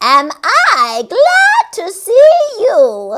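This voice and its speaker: In a put-on character voice, a woman cackles with an extremely high, squeaky pitch that swings very widely. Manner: cackling, delighted.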